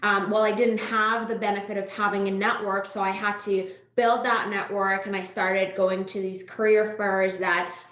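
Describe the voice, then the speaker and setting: A woman talks at a moderate pace with hardly any pauses, her medium-pitched voice monotone and flat, amid audible room echo and noticeable background noise. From Iran. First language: Farsi. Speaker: tech sales executive. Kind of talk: podcast interview.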